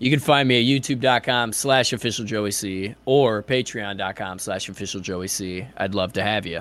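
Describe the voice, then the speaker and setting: On a very clean recording with a silent background, a man with a fairly low pitch talks at a moderate pace, with hardly any pauses and ordinary pitch variation. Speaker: YouTube creator and voice for a film news channel. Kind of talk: casual chat.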